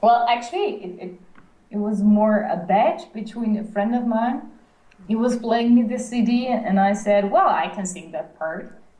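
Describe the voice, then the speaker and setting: A woman with a Dutch accent speaks at a moderate pace and a fairly high pitch, with ordinary pitch variation and big swings in loudness. Noticeable background noise and audible room echo fill the recording. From Netherlands. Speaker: singer. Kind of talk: interview. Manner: halting, repeating words.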